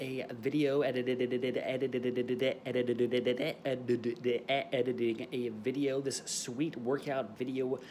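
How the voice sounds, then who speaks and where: Light background noise runs under the recording. A man speaks at a moderate pace with monotone, flat intonation. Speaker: fitness vlogger. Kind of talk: casual vlog chat. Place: home room. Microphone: phone near.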